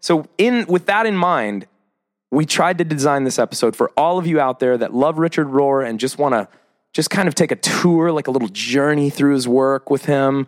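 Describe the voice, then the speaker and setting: An animated, fairly high male voice with an American accent, ordinary pitch variation and a moderate pace. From US Midwest. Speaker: podcast host. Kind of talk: casual chat.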